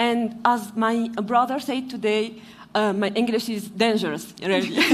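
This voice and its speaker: Over noticeable background noise and audible room echo, a woman with a fairly high pitch talks at a fairly slow pace. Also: fairly even intonation. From Tunisia. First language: not English; English is third language. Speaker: panelist, environmental worker. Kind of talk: panel discussion. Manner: halting, many hesitations.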